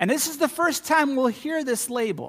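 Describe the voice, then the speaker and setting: The voice belongs to a man talking at a moderate pace. Ordinary pitch variation runs through his speech. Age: 50s. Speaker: pastor. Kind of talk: sermon.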